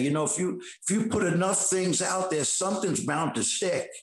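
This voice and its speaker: In a New York accent, a high-pitched man speaks at a fairly quick pace with ordinary pitch variation. Noticeable background noise and audible room echo surround him. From New York City, Queens. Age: 60s. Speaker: actor and bodybuilder. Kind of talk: interview. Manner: animated.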